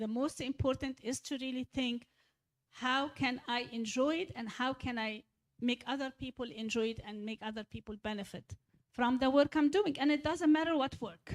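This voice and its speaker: Speaking with an Egyptian accent at a moderate pace, a woman shows ordinary pitch variation in a dry, close sound with no echo. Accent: deep Egyptian Arabic. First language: Egyptian Arabic. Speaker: church speaker leading a discussion. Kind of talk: church talk with audience questions, English mixed with Arabic.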